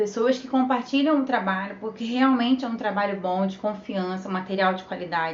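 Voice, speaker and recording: The woman's pitch varies in an ordinary way. Audible room echo is present. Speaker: social media manager. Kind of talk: live stream tutorial. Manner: animated.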